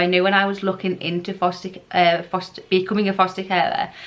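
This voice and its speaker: Over noticeable background noise, a woman speaks at medium pitch and a very fast pace. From England. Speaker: foster carer vlogger. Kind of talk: casual informational vlog.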